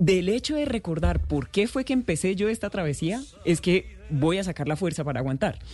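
Over music in the background, a woman with a Santander Colombian accent talks at a moderate pace with hardly any pauses, her fairly low voice swinging very widely in pitch. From Colombia, Santander. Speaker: happiness coach. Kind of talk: radio interview.

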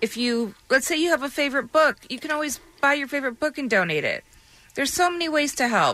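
A woman talks very fast in a high, raised, projected voice with a bright, sharp tone and ordinary pitch variation. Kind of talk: casual on-air chat, then charity promo. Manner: chatty, laughing, friendly.

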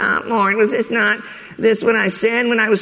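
A man puts on a whiny character voice, high and raised to project. Light background noise can be heard. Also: moderate pace. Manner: complaining.

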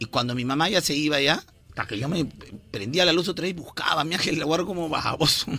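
A man's fairly high, bright and sharp voice at a very fast pace, with ordinary pitch variation. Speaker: radio morning show host. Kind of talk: casual comedic morning radio chat.

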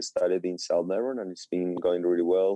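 This is a man speaking with a Spanish accent. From Colombia. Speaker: chef and restaurateur. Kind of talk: radio interview. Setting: phone call.

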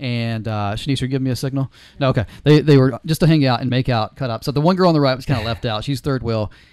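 Talking at a very fast pace with hardly any pauses, a man keeps a medium pitch and ordinary pitch variation. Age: 40s. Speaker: podcast host. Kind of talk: casual chat. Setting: studio.

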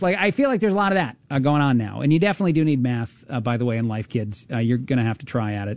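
The voice moves at a very fast pace with lively intonation, in a very clean recording with a silent background. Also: man. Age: 30s. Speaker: radio talk show host. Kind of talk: casual talk radio monologue.

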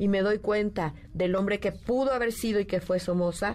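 At a moderate pace, a woman talks in an ordinary speaking voice with a medium pitch. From Nicaragua. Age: 50s. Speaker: writer. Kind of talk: radio interview. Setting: radio studio.

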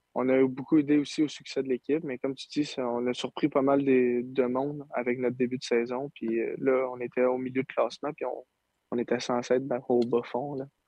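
Flat, monotone delivery from a medium-pitched man at a moderate pace. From Quebec, Saint-Eustache. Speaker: junior hockey player. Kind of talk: interview.

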